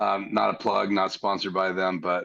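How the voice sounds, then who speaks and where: A fairly low-pitched male voice at a moderate pace. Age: 60s. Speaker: live stream guest, church audio hobbyist. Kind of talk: casual chat.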